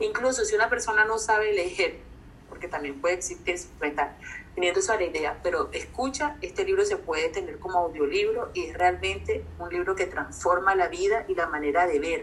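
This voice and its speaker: The delivery keeps a moderate tempo while noticeable background noise plays underneath. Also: woman. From Colombia, Barranquilla. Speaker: psychologist and life coach. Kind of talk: casual interview.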